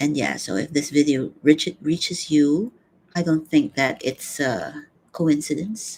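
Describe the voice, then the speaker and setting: Speaking with a Filipino accent, a woman has a very deep, low pitch and ordinary pitch variation. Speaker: vlogger and stage show producer. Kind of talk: personal reflection livestream. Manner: halting.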